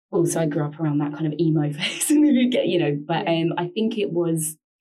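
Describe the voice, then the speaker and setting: Her voice is fairly low and has a dark, mellow tone, with lively intonation. The woman speaks with a London accent. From London, England. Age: 20s. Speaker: journalist. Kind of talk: casual interview about personal mental health.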